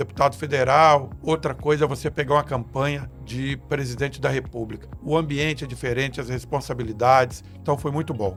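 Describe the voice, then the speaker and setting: Music plays in the background as a man speaks. He moves at a fairly quick pace with hardly any pauses. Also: medium pitch for a man, ordinary pitch variation. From Espírito Santo, Brazil. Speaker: political marketing consultant. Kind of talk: podcast interview answer.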